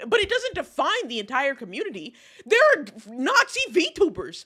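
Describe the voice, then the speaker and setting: A woman with an American accent uses a raised, projected voice that sounds animated, bright and sharp. Her pitch swings very widely at a moderate pace. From Texas. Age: 20s. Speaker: streamer. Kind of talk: casual chat.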